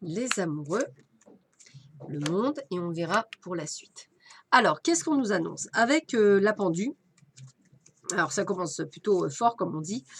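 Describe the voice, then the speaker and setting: At a moderate pace, a woman with a medium-pitched voice swings very widely in pitch and pauses long and often. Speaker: medium and tarot reader. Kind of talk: weekly tarot reading. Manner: hesitant, many fillers.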